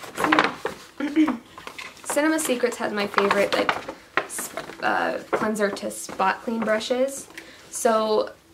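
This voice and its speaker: A woman talking at a fairly slow pace amid noticeable background noise. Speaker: beauty vlogger. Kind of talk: haul video. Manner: casual, halting with fillers.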